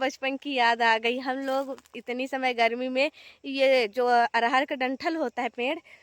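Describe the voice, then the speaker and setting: With hardly any pauses, a woman talks at a fairly slow pace in a high voice, recorded very cleanly against a silent background with a dry, close sound and no echo. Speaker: village vlogger. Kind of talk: casual vlog narration. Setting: outdoors in fields.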